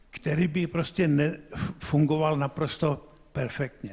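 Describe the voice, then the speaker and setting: The pace of this man's speech is very slow. His pitch is fairly high. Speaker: scientist in audience. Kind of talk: audience question. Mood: emphatic, sceptical. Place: hall.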